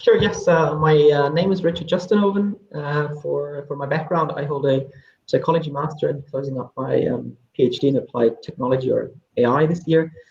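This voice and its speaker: In a German accent, the somewhat breathy voice moves at a fairly quick pace with ordinary pitch variation. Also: man, fairly high pitch for a man. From Germany (Hamburg). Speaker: AI researcher and assessment team lead. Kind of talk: panel discussion.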